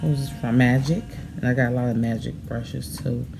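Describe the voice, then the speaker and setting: A woman with an American accent speaks at a very deep, low pitch with ordinary pitch variation. Room echo is audible. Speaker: makeup vlogger. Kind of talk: tutorial; casual chat. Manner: halting, tongue-tied at times.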